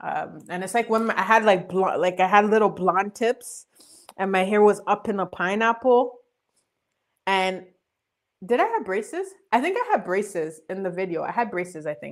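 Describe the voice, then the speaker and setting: Ordinary pitch variation and a moderate pace in an ordinary speaking voice. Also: woman, medium pitch for a woman. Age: 20s. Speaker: live streamer, channel host. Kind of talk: casual chat.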